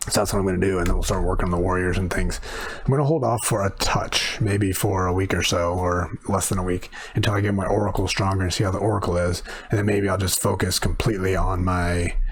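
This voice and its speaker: A man's very deep, low voice at a very fast pace, with very even loudness and fairly even intonation, amid audible room echo and noticeable background noise. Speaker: gaming youtuber. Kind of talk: gameplay commentary.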